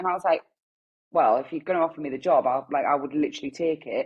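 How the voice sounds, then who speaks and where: A woman's very fast speech in a strong Geordie accent, with ordinary pitch variation. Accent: thick Geordie. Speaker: newborn photographer. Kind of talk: podcast interview. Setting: video call.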